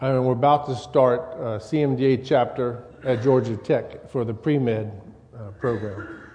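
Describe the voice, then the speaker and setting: The speaker has a slight Louisiana accent and fairly even intonation at a fairly slow pace. Noticeable background noise is present. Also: man, medium pitch for a man. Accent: slight Louisiana-style Gulf Coast Southern. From US South. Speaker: church elder and lay preacher. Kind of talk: sermon. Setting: church.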